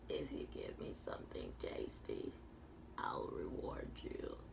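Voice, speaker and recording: A man drawls in a raspy, put-on character voice at a fairly slow pace. Loud background noise fills the recording. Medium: read story. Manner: slow, drawling.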